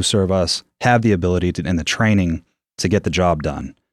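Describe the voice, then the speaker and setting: A man with a New England accent at a fairly quick pace, with ordinary pitch variation and a dry, close sound with no echo on a very clean recording with a silent background. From New Hampshire, US. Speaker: gym owner and coach. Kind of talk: casual interview chat.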